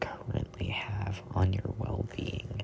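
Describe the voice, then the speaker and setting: Whispered at a very slow pace, the speech has noticeable background noise around it. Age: 20s. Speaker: content creator. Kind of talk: reading aloud.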